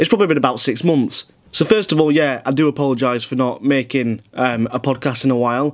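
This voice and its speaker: Talking at a very fast pace, a man speaks with a Yorkshire accent and lively intonation. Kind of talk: casual podcast talk.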